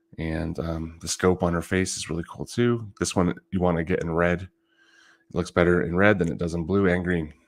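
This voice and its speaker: Mumbling at a moderate pace, a man with a very deep, low pitch keeps his intonation fairly even on a very clean recording with a silent background. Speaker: trading card collector livestreamer. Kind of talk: casual livestream talk.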